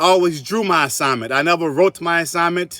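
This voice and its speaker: Recorded dry and close with no echo, a man with a Southern US accent speaks at a moderate pace in a bright, sharp tone, high-pitched, with ordinary pitch variation. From US South, South Carolina (Columbia). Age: 40s. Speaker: artist. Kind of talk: interview.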